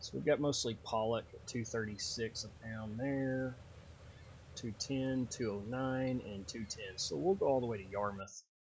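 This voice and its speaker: The tone is relaxed and somewhat breathy, with ordinary pitch variation. The pace is moderate. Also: man, medium pitch for a man. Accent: Texas. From Texas. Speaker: gaming YouTuber. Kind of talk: gameplay commentary. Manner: casual, relaxed.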